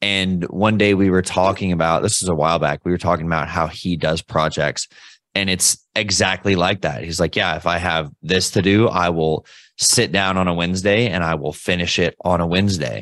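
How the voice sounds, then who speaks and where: In a very deep, low voice, a man talks at a moderate pace with fairly even intonation and very even loudness. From Kentucky, Louisville. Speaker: copywriter. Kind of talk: casual chat.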